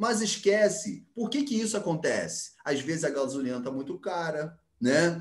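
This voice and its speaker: The voice moves through very wide pitch swings at a moderate pace. Audible room echo surrounds it. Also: man, high pitch for a man. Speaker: geography teacher. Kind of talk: online class lecture.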